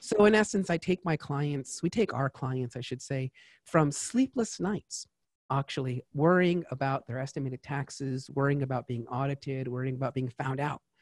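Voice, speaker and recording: A man with an American accent at a moderate pace and ordinary pitch variation, the sound dry and close with no echo, in a very clean recording over a silent background. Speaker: tax advisor. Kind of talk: interview. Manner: animated.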